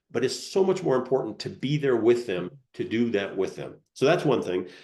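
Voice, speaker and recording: Using a medium pitch and a dark, mellow tone, a man speaks at a moderate pace with very wide pitch swings. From Colorado, US. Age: 60s. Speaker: retired air force colonel. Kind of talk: interview. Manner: halting, many repeated words.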